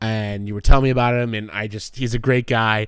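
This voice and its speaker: This is an ordinary speaking voice. It moves at a fairly quick pace. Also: man. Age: 30s. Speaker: sports podcast co-host and high school teacher. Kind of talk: casual chat.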